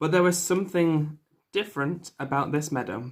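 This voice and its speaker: A man in a Mancunian accent with fairly even intonation. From northern England, Manchester. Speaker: English teacher. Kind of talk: online English lesson with story reading. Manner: slow, clear teacher delivery.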